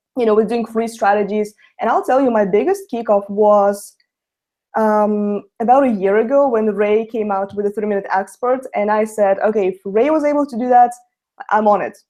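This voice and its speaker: In a Russian accent, a woman speaks at a moderate pace with a dark, mellow tone, a fairly high voice and ordinary pitch variation. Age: young. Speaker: network marketer. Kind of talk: webinar testimony.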